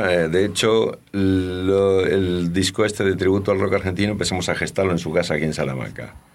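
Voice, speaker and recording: A man is speaking. His pace is fairly quick. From Argentina. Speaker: rock and blues singer and bassist. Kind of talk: interview. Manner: halting.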